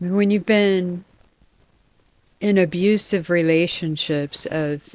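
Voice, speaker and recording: Her intonation fairly even, a woman speaks. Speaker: vlogger with Parkinson's. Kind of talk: personal vlog. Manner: soft-spoken.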